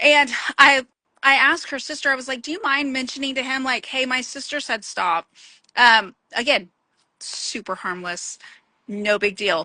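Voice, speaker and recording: In a raised, projected voice with a bright, sharp tone, a woman speaks at a high pitch with lively intonation. Her pace is moderate, broken by long, frequent pauses. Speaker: podcast host. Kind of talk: casual chat.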